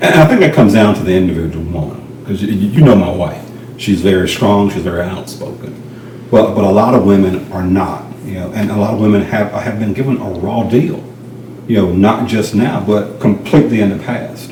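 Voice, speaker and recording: Speaking fairly quickly, a man uses a fairly low pitch with ordinary pitch variation. Audible room echo and noticeable background noise are present. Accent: Southern US. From rural North Carolina. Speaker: realtor, former law enforcement officer. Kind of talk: interview.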